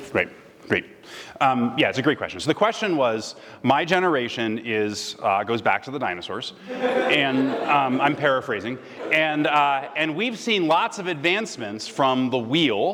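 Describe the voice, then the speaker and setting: Noticeable background noise surrounds a man who speaks at a moderate pace and fairly high pitch, his voice swinging very widely in pitch. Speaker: guest speaker. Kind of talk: lecture Q&A. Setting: stage with audience.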